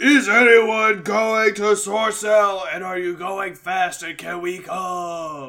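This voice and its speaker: Shouting in a raised, projected voice, a man puts on a character voice, high-pitched and very slow. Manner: yelling.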